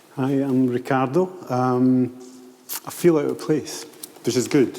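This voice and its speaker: Fairly slow speech with fairly even intonation comes through over noticeable background noise. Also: man, medium pitch for a man. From Italy, Tuscany. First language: Italian. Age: old. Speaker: architect and planner. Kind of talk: panel discussion.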